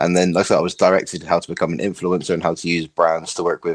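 In a British accent, a man rattles along at a very fast pace in a dry, close sound with no echo. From England, between London and Bristol. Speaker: podcast guest, content creator and influencer. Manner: fast talker.

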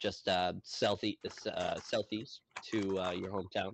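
His intonation stays fairly even. This man speaks at a fairly low pitch. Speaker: tabletop game master. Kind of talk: role-play game narration. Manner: rambling.

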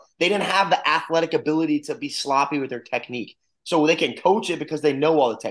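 A man talks at a fairly quick pace. His voice is fairly high, with ordinary pitch variation. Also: fairly bright tone.

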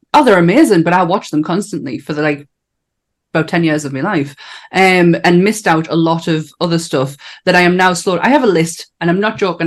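A woman speaks in a normal speaking voice at a fairly quick pace, her pitch fairly low with ordinary pitch variation. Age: 40s. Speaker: podcast host. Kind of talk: casual chat.

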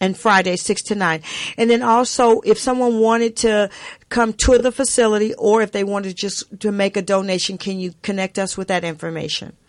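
A woman with a plain, everyday voice, medium pitch, and an American accent, at a fairly quick pace with fairly even intonation over a quiet background. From US South. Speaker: radio host. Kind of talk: radio interview, warm and faith-filled. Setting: radio studio, guest on phone. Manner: warm, effusive, encouraging.

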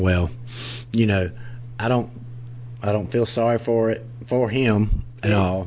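With a playful tone and very even loudness, a man at a medium pitch speaks at a fairly slow pace with fairly even intonation and long, frequent pauses, over noticeable background noise. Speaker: podcast co-host. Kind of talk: casual comedic banter. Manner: joking, playful.

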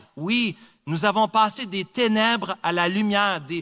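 On a very clean recording with a silent background, a man raises and projects his high voice, bright and sharp in tone, speaking at a very slow pace with ordinary pitch variation. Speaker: preacher. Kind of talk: sermon. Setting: church. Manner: earnest, emphatic preaching with repetition for emphasis.

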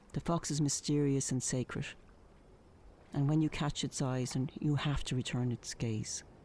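Dark, mellow tone in an Irish accent, with fairly even intonation, very even loudness and a moderate pace. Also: woman, very deep, low pitch for a woman. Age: 50s. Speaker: painter and journalist, podcast storyteller. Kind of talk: scripted narration.

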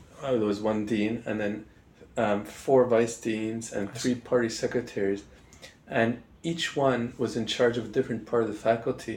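A man speaks with a Canadian accent at a moderate pace. His pitch is medium and his intonation fairly even. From Montreal, Canada. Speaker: political theory professor. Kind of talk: interview. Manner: hesitant, many fillers.

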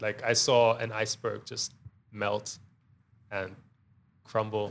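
A man speaks at a very slow pace. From Germany, Cologne. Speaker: skate shop owner. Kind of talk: casual interview.

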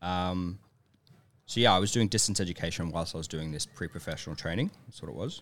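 Here a man speaks with an Australian accent and ordinary pitch variation. The recording is very clean, with a silent background. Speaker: professional ballet dancer. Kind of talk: casual chat. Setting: studio. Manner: energetic.

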